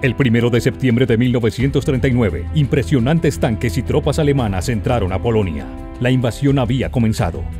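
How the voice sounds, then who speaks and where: A man's medium-pitched voice at a fairly quick pace, with lively intonation and very even loudness over music in the background. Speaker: voice actor. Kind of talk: documentary narration.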